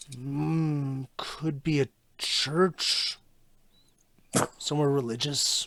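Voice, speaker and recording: Using a put-on character voice at a fairly high pitch, a man speaks at a very slow pace with long, frequent pauses. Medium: actual play. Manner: cryptic, measured.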